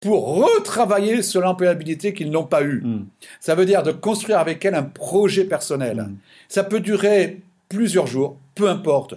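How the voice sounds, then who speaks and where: Fairly slow speech comes through with a dark, mellow tone. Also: man, high pitch for a man, lively intonation. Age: 60s. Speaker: business consultant. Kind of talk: interview. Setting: remote call from his office. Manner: halting, many repetitions.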